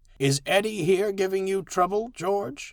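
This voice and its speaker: Speaking at a moderate pace, a man puts on a character voice at a high pitch. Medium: read story.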